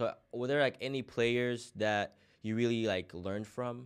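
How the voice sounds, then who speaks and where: Against a quiet background, a man with an unremarkable speaking voice talks at a fairly slow pace and a medium pitch. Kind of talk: casual interview chat.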